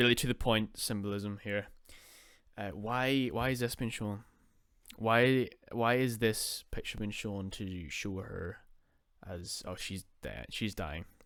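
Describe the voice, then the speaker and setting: Very slow and fairly low, a man's voice shows ordinary pitch variation with long, frequent pauses. The recording is very clean, with a silent background. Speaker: podcast host. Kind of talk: unscripted commentary. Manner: halting.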